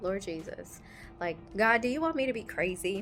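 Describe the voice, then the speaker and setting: Music plays in the background. The soft-spoken voice is animated and fairly slow. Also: woman. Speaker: travel vlogger. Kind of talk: casual vlog storytelling. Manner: quiet, talking softly.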